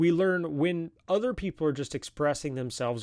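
Heard in a very clean recording with a silent background, a man with a normal speaking voice talks at a moderate pace with lively intonation. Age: 30s. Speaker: podcast host. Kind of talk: solo podcast monologue. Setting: live stream.

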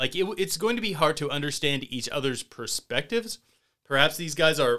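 With lively intonation and a bright, sharp tone, a man talks at a fairly quick pace. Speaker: podcast co-host. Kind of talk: casual chat.

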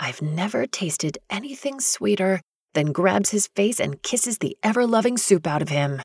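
Reading aloud in a natural voice, with lively intonation, over a quiet background

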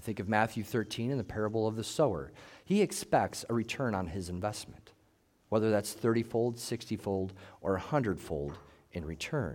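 A man with a fairly low pitch speaks at a fairly quick pace with lively intonation in an ordinary speaking voice, on a very clean recording with a silent background. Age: 40s. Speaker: pastor. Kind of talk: sermon.

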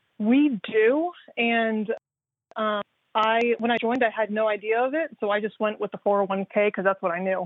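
A woman talks in a normal speaking voice at a moderate pace, her fairly high pitch showing ordinary variation. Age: 30s. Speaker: caller. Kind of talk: phone-in call.

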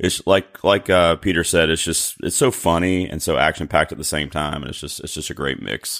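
A man with an American accent and a very deep, low pitch talks at a fairly quick pace with hardly any pauses, ordinary pitch variation and big swings in loudness. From North Carolina. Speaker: fellow podcaster. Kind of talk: casual chat.

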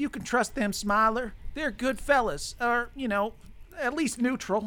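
This is a put-on character voice at a fairly high pitch. The pace is moderate. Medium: actual play.

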